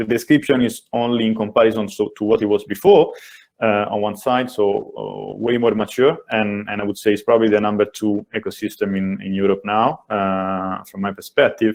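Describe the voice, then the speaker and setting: A man with an Italian accent, a fairly low pitch, fairly even intonation, a moderate pace and hardly any pauses. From Italy. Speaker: venture capital investor. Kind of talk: panel discussion. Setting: webinar video call. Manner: hesitant, many fillers.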